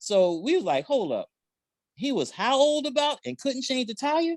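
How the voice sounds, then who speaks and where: At a moderate pace, the speaker uses an animated tone with a Southern accent, captured in a very clean recording with a silent background. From South Carolina. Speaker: podcast co-host. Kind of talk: casual chat.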